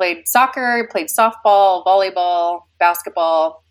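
A woman talks at medium pitch in an American accent. Her pace is moderate. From Utah, Davis County (Kaysville). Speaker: church member, young mother. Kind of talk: casual interview.

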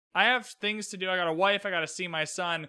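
A man projects a raised voice. His tone is bright and sharp. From Canada. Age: 20s. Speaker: podcast host. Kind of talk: casual chat.

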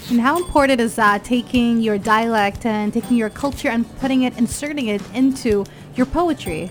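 With music in the background, a woman speaks at a moderate pace and a fairly high pitch, her tone upbeat and enthusiastic and her intonation lively. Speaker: radio host. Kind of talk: live radio hosting and interview. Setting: live radio broadcast at book fair. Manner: upbeat, enthusiastic.

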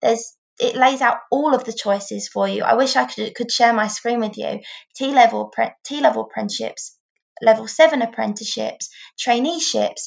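Speaking with an English accent, a woman keeps to a moderate pace. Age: 20s. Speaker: former Paralympic swimmer, apprentice solicitor. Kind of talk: interview.

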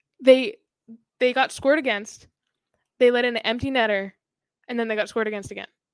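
In a Boston accent, a woman talks very fast in a high voice with fairly even intonation, broken by long, frequent pauses. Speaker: hockey podcast host. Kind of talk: casual chat.

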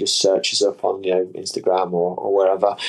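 A man with an East Midlands accent talks at a moderate pace. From English Midlands, Leicestershire. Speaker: sports scientist and hydration company founder. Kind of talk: interview conversation.

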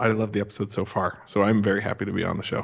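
A man with a western US accent speaks at a fairly low pitch. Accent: western American. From Montana. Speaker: podcaster. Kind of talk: casual chat. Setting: remote call from a cement garage office.

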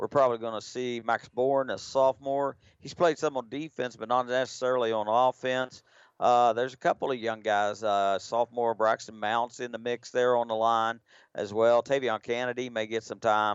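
The man speaks at a moderate pace and medium pitch. His tone is relaxed, his intonation monotone and flat. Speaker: color analyst. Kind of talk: live sports commentary. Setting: stadium broadcast, radio. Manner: relaxed, conversational, chatty.

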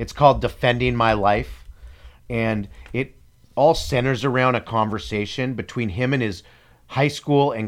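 On a very clean recording with a silent background, a man uses an ordinary speaking voice at medium pitch and a moderate pace, with ordinary pitch variation. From Canada. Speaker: podcast co-host. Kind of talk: casual chat.

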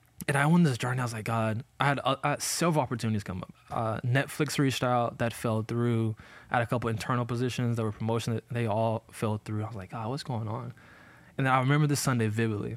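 A man with an American accent, very fast in pace, with fairly even intonation. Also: medium pitch for a man. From US South, Montgomery, Alabama. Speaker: church staff member and former tech worker. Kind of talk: casual podcast discussion.

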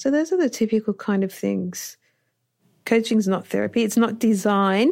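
A woman with an Australian accent and fairly high pitch, at a moderate pace with ordinary pitch variation, on a very clean recording with a silent background. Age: 40s. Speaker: doctor and coach for health professionals. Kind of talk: interview.

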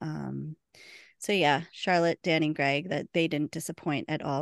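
A woman speaks with a very deep, low pitch at a fairly quick pace. The background is quiet and the sound dry and close with no echo. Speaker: podcast host and convention moderator. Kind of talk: casual chat.

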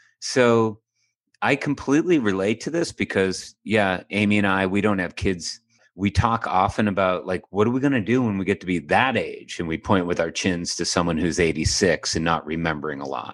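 Here a man has an ordinary speaking voice with a fairly low pitch. He speaks at a moderate pace with lively intonation. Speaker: podcast co-host. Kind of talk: analytical discussion.

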